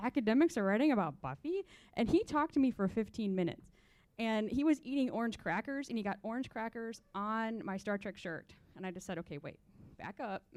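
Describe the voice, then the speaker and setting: In a very clean recording with a silent background, a woman with an American accent and an unremarkable speaking voice talks at a fairly quick pace, her fairly high pitch carrying lively intonation and big swings in loudness. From small-town Indiana. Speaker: literature professor. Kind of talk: panel discussion.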